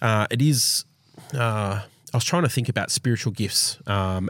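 An Australian accent marks this man's moderate-paced speech, recorded dry and close with no echo on a very clean recording with a silent background. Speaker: church team member. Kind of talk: casual chat.

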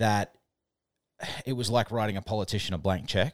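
A man with an Australian accent, fairly low-pitched, ordinary pitch variation, a very clean recording with a silent background, and a dry, close sound with no echo. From New Zealand and Australia. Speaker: podcast co-host. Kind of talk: casual chat. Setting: makeshift home studio.

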